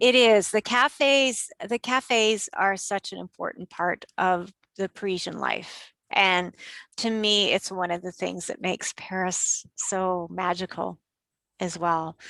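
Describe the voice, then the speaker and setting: A woman's bright, sharp voice with a Canadian accent, medium pitch, ordinary pitch variation and a fairly slow pace, in a dry, close sound with no echo. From Canada. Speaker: tour operator. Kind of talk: interview answer.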